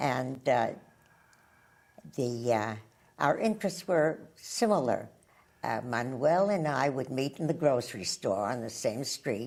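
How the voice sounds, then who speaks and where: A woman speaks with an American accent in a very deep, low pitch and lively intonation. She leaves long pauses, and often. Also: fairly slow pace. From New York City, Brooklyn and the Bronx. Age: 80s+. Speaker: centenarian resident interviewee. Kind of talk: interview. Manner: halting.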